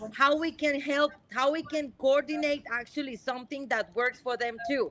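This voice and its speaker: Speaking at a moderate pace, a woman with a Spanish accent uses a high pitch and fairly even intonation. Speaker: marine conservationist. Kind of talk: live Q&A interview. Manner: halting, many repeats and fillers.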